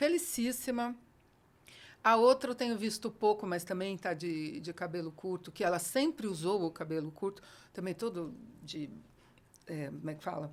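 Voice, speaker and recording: An animated woman at medium pitch with lively intonation, moderate pace, long, frequent pauses and big swings in loudness. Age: 60s. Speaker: educator. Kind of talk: casual chat.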